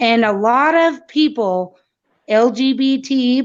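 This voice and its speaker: Her voice sits high in pitch for a woman, with ordinary pitch variation. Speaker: caller. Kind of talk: heated debate.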